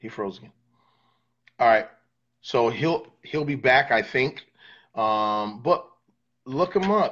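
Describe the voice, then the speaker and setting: Against a quiet background, a man talks at a very slow pace with lively intonation, long, frequent pauses and big swings in loudness. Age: 40s. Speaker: livestream interview host, worship leader; interview host. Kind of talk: casual livestream chat. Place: home room. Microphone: broadband issues; phone near.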